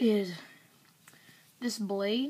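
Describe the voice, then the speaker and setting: Here a woman talks with a Southern US accent. Her pitch is medium and her intonation fairly even. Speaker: product reviewer. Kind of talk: product review. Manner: casual, hesitant with fillers.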